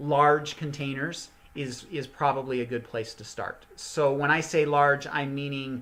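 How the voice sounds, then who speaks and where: A man speaks at a fairly slow pace in a fairly high pitch. He has a plain, everyday voice. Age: 50s. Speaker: gardening channel host. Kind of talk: live online teaching session. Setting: live stream. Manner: casual, conversational with many fillers.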